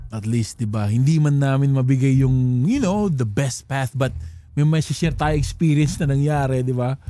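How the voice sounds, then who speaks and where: Dark, mellow tone in a man's voice of medium pitch. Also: ordinary pitch variation, moderate pace. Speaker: podcast co-host. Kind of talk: casual chat.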